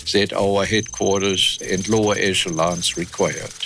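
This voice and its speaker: Music plays in the background. The intonation remains fairly even. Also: man. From Germany. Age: 80s+. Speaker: war veteran. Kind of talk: interview answer.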